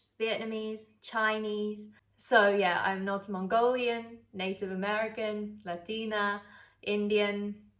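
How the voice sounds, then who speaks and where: The speaker has a London accent. The pace is very slow. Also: woman. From London, England. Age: 20s. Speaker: travel vlogger. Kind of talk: casual chat. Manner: chatty, relaxed.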